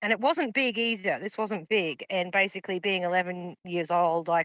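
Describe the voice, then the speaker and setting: At a moderate pace, a woman with an Australian accent speaks in a medium pitch. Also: ordinary pitch variation. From Queensland, Australia (Sunshine Coast). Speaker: paranormal witness. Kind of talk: interview testimony.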